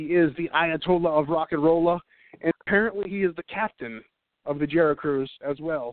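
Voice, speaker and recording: At a moderate pace, a man with a fairly high pitch and an unremarkable speaking voice talks with ordinary pitch variation. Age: 30s. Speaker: radio show host. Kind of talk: casual chat.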